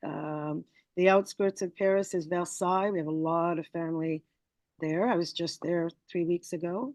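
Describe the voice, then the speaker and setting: Fairly low in pitch, a woman with a French-Canadian accent speaks at a moderate pace with fairly even intonation. The sound is dry and close, with no echo. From Morocco. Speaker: PR agency owner. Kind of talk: interview.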